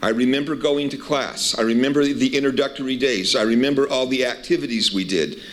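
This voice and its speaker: Through noticeable background noise, a man talks at a medium pitch and a moderate pace with ordinary pitch variation. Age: 60s. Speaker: university administrator. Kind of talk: welcome speech.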